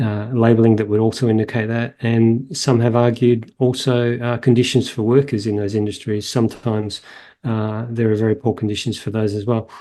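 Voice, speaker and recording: Against a quiet background, a man with an Australian accent talks at a fairly quick pace in a medium-pitched, dark, mellow tone with monotone, flat intonation. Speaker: veterinarian and animal welfare professor. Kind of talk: interview answer.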